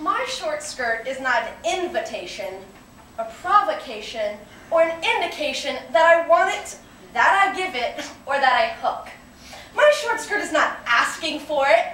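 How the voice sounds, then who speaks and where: A woman projects her voice in an extremely high pitch, swinging very widely at a fairly slow pace, with audible room echo. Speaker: actress performing a monologue. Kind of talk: theatrical monologue, defiant and impassioned, delivered as a feminist performance piece. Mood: defiant, assertive. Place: classroom. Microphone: camera far.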